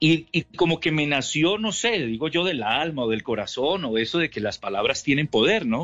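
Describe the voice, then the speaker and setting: With hardly any pauses, a man speaks at a moderate pace in a fairly high pitch, swinging his pitch very widely. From Colombia, Ibagué. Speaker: sports commentator. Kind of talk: interview.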